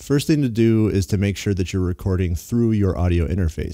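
Against a quiet background, a man with a very deep, low pitch and a dark, mellow tone talks at a fairly quick pace with ordinary pitch variation. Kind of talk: tutorial. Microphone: studio mic.

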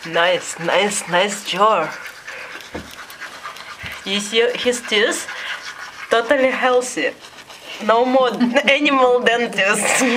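The speaker, in a Russian accent, talks at a very slow pace with long, frequent pauses. Noticeable background noise runs underneath. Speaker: pet owner filming. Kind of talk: casual commentary while filming a pet. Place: home room. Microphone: phone near.

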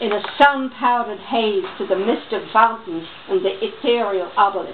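A woman's fairly high voice with an American accent, lively intonation and a moderate pace, over light background noise. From New York. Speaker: voice-over artist; reader. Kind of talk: reading aloud. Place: home room. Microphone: camera far.

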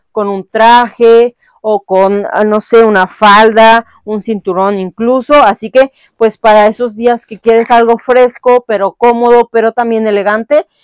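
Against a quiet background, a woman speaks with fairly even intonation in a dry sound with no echo. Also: fairly slow pace. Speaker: fitness clothing reviewer. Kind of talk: casual haul review chat. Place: home room.

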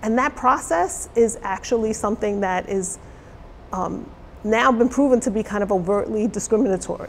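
A woman speaks in an American accent at a moderate pace, her pitch fairly high with ordinary variation. Light background noise can be heard. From New York City. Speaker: college diversity officer; interviewee, college diversity educator. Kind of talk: interview. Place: studio.

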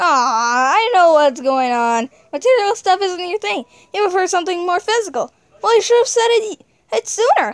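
This put-on character voice sits at an extremely high pitch and swings very widely up and down. It moves at a moderate pace. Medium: fan dub. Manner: smug, teasing.

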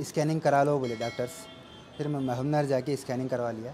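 The intonation stays fairly even, with light background noise behind the voice. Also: man. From Telangana, India (Narayanpet district); Telangana, India. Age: 30s. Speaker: cancer patient. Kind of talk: testimony. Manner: halting. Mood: calm, earnest.

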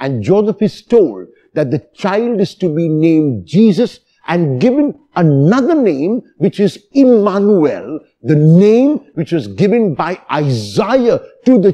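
A man's dark, mellow tone with very wide pitch swings at a very slow pace. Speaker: priest. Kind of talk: sermon.

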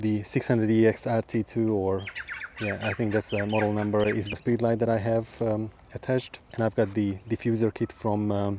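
This man's voice is fairly low in pitch, with monotone, flat intonation, at a moderate pace. The sound is dry with no echo, and there is noticeable background noise. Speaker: macro photographer vlogger. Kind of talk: casual vlog chat. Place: open country. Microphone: lapel.

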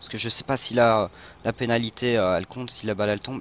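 The man delivers his words at a very fast pace, at medium pitch, in a monotone, flat intonation. The sound is dry and close, with no echo. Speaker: gaming youtuber. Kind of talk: gameplay commentary. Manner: halting.

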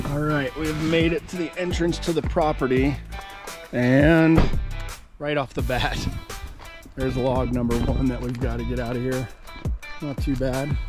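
The speech moves at a moderate pace with long, frequent pauses. Clear music plays in the background of a dry recording with no echo. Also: man. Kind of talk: casual vlog chat. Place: forest. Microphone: phone near.

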